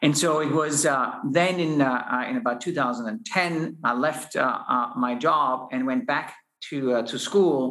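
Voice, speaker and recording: A man's fairly high voice in a German accent, with ordinary pitch variation. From Austria. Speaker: space company founder and CEO. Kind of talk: interview conversation. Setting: in-person recording. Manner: hesitant with fillers.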